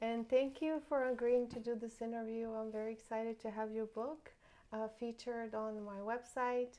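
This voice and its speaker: A woman with a non-native accent and a fairly high pitch speaks at a moderate pace in a flat monotone with a dark, mellow tone. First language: not English. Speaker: real estate agent and interview host. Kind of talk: interview.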